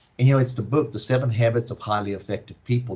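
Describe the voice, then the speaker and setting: A man speaks at a medium pitch with a dark, mellow tone, a somewhat breathy quality and fairly even intonation. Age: 60s. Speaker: panelist and mentor. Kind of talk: panel discussion.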